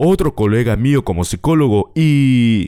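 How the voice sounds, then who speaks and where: A man with a Mexican accent talks at a fairly slow pace in a dark, mellow tone. The recording is very clean, with a silent background. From Mexico, Acapulco. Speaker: podcast host. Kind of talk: personal storytelling.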